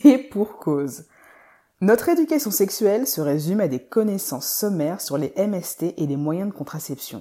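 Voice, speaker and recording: Dark and mellow in tone, a woman speaks at a fairly slow pace with very wide pitch swings, in a very clean recording with a silent background. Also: medium pitch for a woman. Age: 30s. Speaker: podcast host and physiotherapist. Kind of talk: scripted narration.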